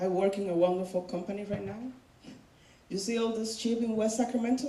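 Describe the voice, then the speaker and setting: A woman speaks at a medium pitch. Noticeable background noise and audible room echo fill the recording. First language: not English. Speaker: student speaker sharing personal story. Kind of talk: personal testimony speech.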